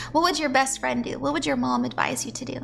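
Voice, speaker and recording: Music is playing in the background. Over it, a woman's voice is heard. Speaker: tarot reader. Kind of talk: tarot reading on stream. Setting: livestream. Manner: casual, chatty.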